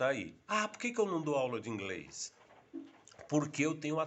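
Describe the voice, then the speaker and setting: This man's voice sits fairly high and carries vocal fry. His intonation is lively. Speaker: vlogger teaching English tips. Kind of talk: unscripted casual video monologue. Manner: halting, with frequent fillers.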